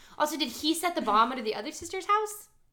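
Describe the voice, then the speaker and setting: A woman's raised, projected voice at a fairly quick pace, bright and sharp in tone, with very wide pitch swings. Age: 20s. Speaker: podcast co-host. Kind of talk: casual chat.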